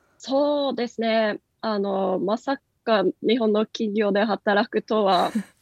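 With a Norwegian accent, a woman speaks at a very slow pace in a fairly high pitch with ordinary pitch variation. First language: Norwegian (speaking Japanese). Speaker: company country manager. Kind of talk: radio interview. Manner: many fillers.

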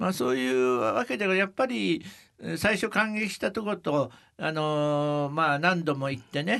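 A man speaks at a fairly slow pace in an unremarkable speaking voice, fairly high in pitch, against a quiet background. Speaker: company advisor and travel author. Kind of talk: interview.

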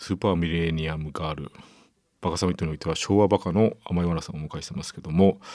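A man's very deep, low voice with a dark, mellow tone, fairly even intonation, big swings in loudness and a very fast pace, on a very clean recording with a silent background. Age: middle-aged. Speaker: radio host. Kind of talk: casual chat.

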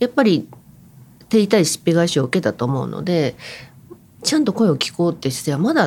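Speaking at a fairly quick pace, a woman with a fairly low, somewhat breathy voice makes very wide pitch swings. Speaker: writer and anti-poverty activist. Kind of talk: interview commentary.

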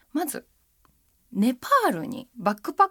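Very wide pitch swings run through this voice, recorded with a dry, close sound and no echo. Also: woman. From Japan, Machida, Tokyo. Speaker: henna artist, essayist and radio navigator. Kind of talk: casual interview chat.

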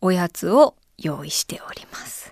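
In a very clean recording with a silent background and a dry, close sound with no echo, a woman speaks at a fairly slow pace and a medium pitch. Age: 30s. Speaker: podcast host. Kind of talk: solo casual podcast talk.

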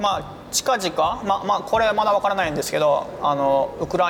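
A man speaking at a fairly quick pace, with ordinary pitch variation and noticeable background noise. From Japan, Osaka. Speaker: humanitarian aid worker and YouTuber. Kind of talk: interview. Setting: cafe.

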